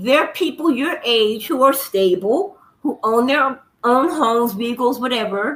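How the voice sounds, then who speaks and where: A woman uses a raised, projected voice at a very slow pace. Her pitch swings very widely. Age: 60s. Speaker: livestream guest, commenter. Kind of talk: casual chat.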